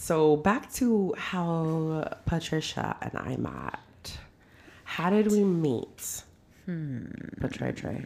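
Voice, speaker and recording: A woman's very deep, low voice in an American accent, very slow with lively intonation. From Modesto, California. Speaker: podcast host. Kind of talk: casual chat. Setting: at guest's home. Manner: laughs a lot.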